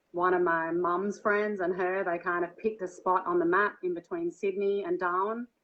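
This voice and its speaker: This woman keeps a moderate pace. Her intonation stays monotone and flat. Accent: Australian. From Australia, Byron Bay area (New South Wales). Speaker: singer and dancer. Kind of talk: interview conversation. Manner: hesitant, many fillers.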